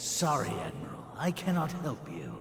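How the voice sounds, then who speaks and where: Over loud background noise and a slight echo, a man does a put-on character voice at a moderate pace. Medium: video game. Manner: haughty, self-assured.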